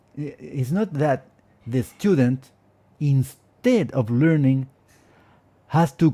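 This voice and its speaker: A man with a Spanish accent, fairly high in pitch, somewhat breathy, with a dark, mellow tone, lively intonation and a very slow pace. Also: very clean recording, silent background. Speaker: Spanish teacher and linguist. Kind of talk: casual advice monologue. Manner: hesitant, with fillers and repetitions.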